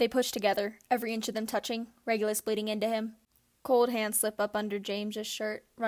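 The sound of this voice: The voice is an unforced reading voice. It reads the words out loud.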